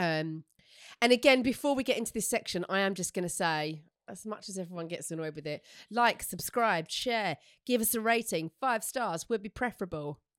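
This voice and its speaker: In a dry, close recording with no echo and a silent background, a woman with an Essex accent speaks at a medium pitch and moderate pace, her loudness swinging widely. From Essex, England. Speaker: podcast co-host. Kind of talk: casual chat.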